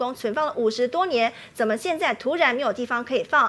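A woman talks fairly quickly in a high voice, her pitch varying in an ordinary way. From Taiwan. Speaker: TV news anchor. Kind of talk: news reading. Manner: formal. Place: studio.

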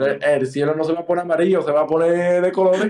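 Talking at a fast pace, a man has a fairly high pitch, a dark, mellow tone and fairly even intonation.

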